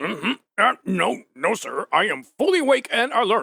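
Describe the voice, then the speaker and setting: A man does a put-on character voice at an extremely high pitch, with very wide pitch swings, in a dry, close sound with no echo. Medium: audio drama. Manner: drowsy, easygoing.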